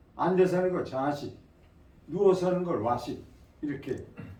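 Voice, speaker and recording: A man talks with a high voice and ordinary pitch variation. Background noise is noticeable. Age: 80s+. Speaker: qigong instructor. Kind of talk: lecture to audience. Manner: casual, conversational.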